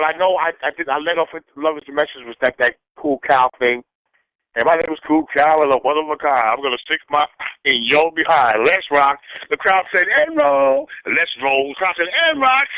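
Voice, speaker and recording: At a moderate pace, a normal speaking voice shifts pitch in an ordinary way. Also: man, fairly high pitch for a man. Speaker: old-school hip hop MC. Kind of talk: interview.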